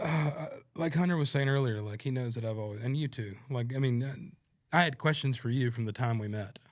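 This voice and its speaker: A man with a Southern US accent speaks at a fairly quick pace. His pitch is medium, with ordinary pitch variation. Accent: Southern US accent, noticeable. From North Carolina, Stokes County (US South). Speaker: singer-songwriter. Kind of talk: casual chat. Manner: halting, many fillers.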